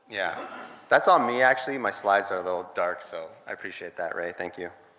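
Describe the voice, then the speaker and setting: A man with a Canadian accent speaks with lively intonation and big swings in loudness over noticeable background noise. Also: medium pitch for a man, fairly quick pace. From Canada (Toronto). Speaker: conference speaker. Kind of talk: conference talk.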